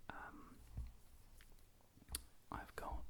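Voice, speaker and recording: Whispering at a very slow pace. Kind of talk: ASMR whispered trigger video for sleep. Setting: home studio with a condenser microphone. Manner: whispered, close-up, soft.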